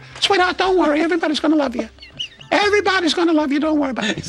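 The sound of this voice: A man puts on a character voice at an extremely high pitch, racing along at a very fast pace. Clear background noise runs underneath.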